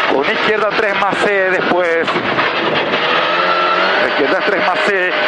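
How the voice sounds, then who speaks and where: A man speaks in an intense tone at a very slow pace, his loudness very even, over loud background noise. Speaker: rally co-driver. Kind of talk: rally co-driver reading pace notes aloud. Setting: in a rally car during a stage. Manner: tense, intense, coaching the driver. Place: car. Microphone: helmet.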